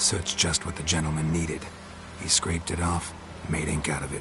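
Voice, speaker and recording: Over loud background noise, a man puts on a character voice with a very deep, low pitch at a fairly quick pace. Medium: short film. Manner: terse, deadpan.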